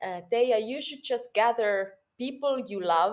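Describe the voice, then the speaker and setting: A woman speaks with a Finnish accent and lively intonation. Her pace is very slow. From Finland. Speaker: performer and theater teacher. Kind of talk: interview. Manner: halting.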